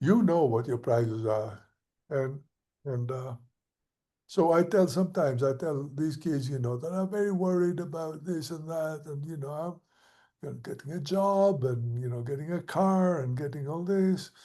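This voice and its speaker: Over a quiet background, a man with a fairly high pitch and a dark, mellow tone talks at a moderate pace with ordinary pitch variation. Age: 70s. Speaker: professor of architecture. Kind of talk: conversational interview. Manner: hesitant, many fillers.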